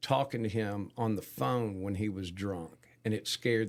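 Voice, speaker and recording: This man has a normal speaking voice with a fairly low pitch. He speaks at a moderate pace. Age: 60s. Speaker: concert producer. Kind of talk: casual chat.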